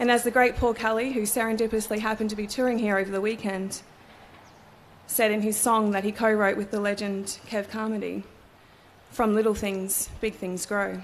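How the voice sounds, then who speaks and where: Keeping a monotone, flat intonation, a woman talks fairly quickly in a fairly high pitch. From Australia, Cairns, Far North Queensland. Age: 30s. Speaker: barrister and ceremony speaker. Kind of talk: formal ceremonial speech. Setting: courthouse ceremony with audience. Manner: formal.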